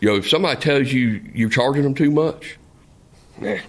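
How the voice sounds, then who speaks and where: A man with a Southern US accent, medium in pitch, at a fairly quick pace with lively intonation and very even loudness. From South Central Florida. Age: 40s. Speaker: meat business owner. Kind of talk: podcast interview. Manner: halting, many repetitions and fillers.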